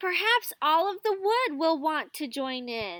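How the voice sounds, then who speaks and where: A put-on character voice with very wide pitch swings at a fairly slow pace. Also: woman. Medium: read story. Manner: shy, gentle.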